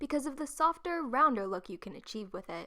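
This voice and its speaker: A raised, projected voice with a bright, sharp tone, very wide pitch swings and a fairly quick pace. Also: woman. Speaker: art YouTuber. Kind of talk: craft tutorial voice-over.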